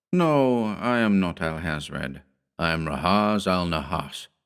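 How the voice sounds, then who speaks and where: A put-on character voice at a fairly slow pace, in a very clean recording with a silent background. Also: man, very deep, low pitch for a man. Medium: read story.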